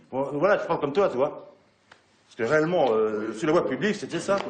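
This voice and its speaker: Lively intonation runs through a man's unremarkable speaking voice. His pitch is fairly high and his pace fairly quick. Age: 60s. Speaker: police officer. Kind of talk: group discussion.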